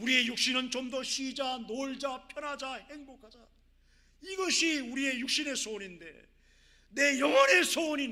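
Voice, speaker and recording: A man projects a raised voice with an extremely high pitch and a bright, sharp tone, using ordinary pitch variation at a moderate pace amid audible room echo. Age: 60s. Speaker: missionary. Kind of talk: sermon.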